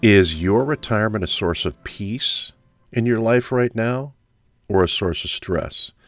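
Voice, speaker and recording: A man with a plain, everyday voice speaks at a medium pitch with ordinary pitch variation. His fairly slow delivery comes through on a very clean recording with a silent background. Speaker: retirement income specialist and radio host. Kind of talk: infomercial-style sales pitch for retirement annuities, scripted and promotional. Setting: radio show. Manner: urgent, persuasive, salesman-like with a confident, reassuring pitch.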